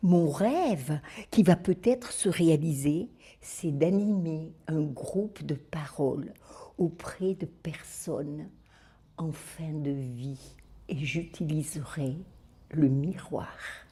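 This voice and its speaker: A woman speaks very slowly, with long, frequent pauses and ordinary pitch variation. Her voice is very deep and low, with a dark, mellow, somewhat breathy tone. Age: 70s. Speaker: retired special educator, supervisor. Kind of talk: video testimonial.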